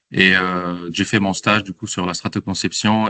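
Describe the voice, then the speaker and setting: A man's very deep, low voice has a bright, sharp tone and a dry, close sound with no echo. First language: not French (speaking French). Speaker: architect and doctoral researcher. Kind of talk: interview. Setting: outdoors in front of train station. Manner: halting, many fillers.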